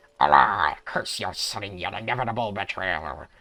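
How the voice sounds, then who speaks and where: A man does a put-on character voice, raspy and theatrical, at a fairly low pitch. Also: moderate pace. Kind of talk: archaic, dramatic. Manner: growling, theatrical, archaic.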